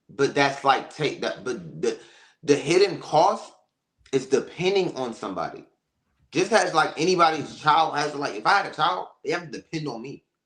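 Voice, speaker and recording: A man speaks at a fairly high pitch with ordinary pitch variation and big swings in loudness. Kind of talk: casual debate. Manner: fast.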